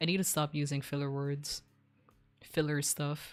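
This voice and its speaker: A woman with a Filipino accent speaks at a very deep, low pitch on a very clean recording with a silent background. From Philippines, Visayas. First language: Bisaya. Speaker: streamer. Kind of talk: casual chat.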